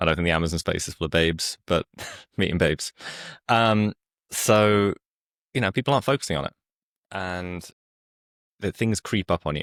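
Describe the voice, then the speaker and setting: With a very deep, low pitch and ordinary variation, a man speaks at a fairly quick pace with long, frequent pauses, in dry, close sound with no echo. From UK. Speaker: company founder. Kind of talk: interview.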